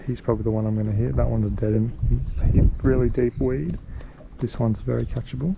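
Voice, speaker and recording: This man has an Australian accent and a very deep, low pitch with very wide pitch swings. He talks at a fairly quick pace over noticeable background noise. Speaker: fishing vlogger. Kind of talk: casual vlog commentary. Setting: outdoors on a boat on a dam.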